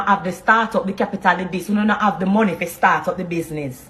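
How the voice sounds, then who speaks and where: Speaking at a very fast pace in a Jamaican accent, a woman uses ordinary pitch variation. Noticeable background noise runs underneath. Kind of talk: motivational talk.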